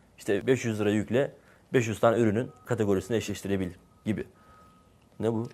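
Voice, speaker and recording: A man with a fairly low pitch, fairly quick pace, fairly even intonation, and long, frequent pauses. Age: 20s. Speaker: software entrepreneur. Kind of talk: interview.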